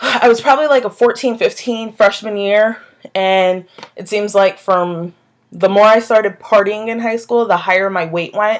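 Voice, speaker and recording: A woman speaks at a moderate pace in a normal speaking voice. Her pitch is medium, with ordinary pitch variation. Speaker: vlogger. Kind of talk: casual vlog monologue.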